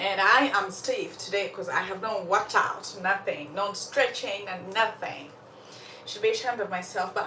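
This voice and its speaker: Over noticeable background noise and audible room echo, a woman speaks in an animated tone at a moderate pace and medium pitch, with ordinary pitch variation. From Uganda. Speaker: storyteller livestream host. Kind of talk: casual live chat. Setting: livestream.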